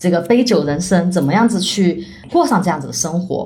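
A woman with a slight Chongqing accent at a fairly quick pace, with audible room echo. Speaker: author and nonprofit founder. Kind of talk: casual interview.

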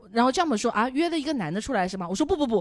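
A woman's high voice with very wide pitch swings. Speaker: podcast guest. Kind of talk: casual chat.

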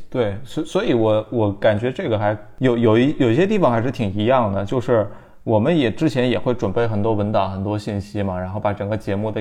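A man's dark, mellow, fairly low voice at a fairly quick pace. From Anhui, southern China. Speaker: podcast host. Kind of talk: casual interview chat.

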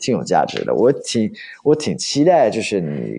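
This is a man speaking with an English accent. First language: English (speaking Chinese). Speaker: study-abroad expert and tour leader. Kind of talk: casual interview chat.

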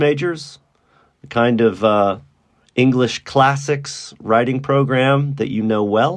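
This is a man with an American accent and an unremarkable speaking voice. He speaks in a medium pitch at a fairly slow pace. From Texas, Dallas. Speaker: university English teacher. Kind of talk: interview.

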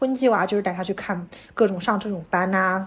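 At a fairly quick pace, a woman speaks in a somewhat breathy voice with ordinary pitch variation. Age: 30s. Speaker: podcast co-host and new mother. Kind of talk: casual chat.

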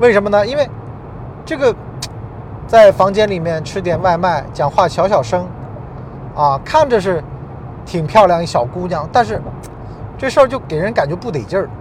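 A man's high voice moves at a moderate pace with an animated tone and very wide pitch swings, broken by long, frequent pauses over noticeable background noise. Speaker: podcast host. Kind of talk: monologue podcast talk. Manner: animated, conversational.

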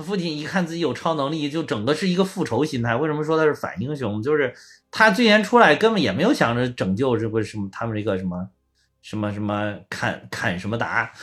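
Speaking at a fairly quick pace, a man uses a fairly high pitch with very wide swings. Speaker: podcast co-host. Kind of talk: casual chat. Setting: remote online recording.

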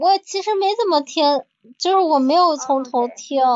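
This woman talks at a fairly slow pace. Her intonation rises and falls in an ordinary way. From northern China. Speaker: listener who joined a live chat. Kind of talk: casual chat.

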